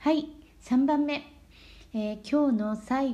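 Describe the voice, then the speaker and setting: Audible room echo surrounds a somewhat breathy voice with a dark, mellow tone, a very slow pace and ordinary pitch variation. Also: woman. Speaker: Japanese language teacher. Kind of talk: lesson for learners. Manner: slow, clear speech.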